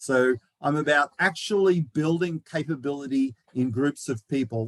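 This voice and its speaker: A man with an Australian accent, fairly high in pitch, in a dry, close sound with no echo. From Australia, Melbourne. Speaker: knowledge manager, presenter. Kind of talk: lecture.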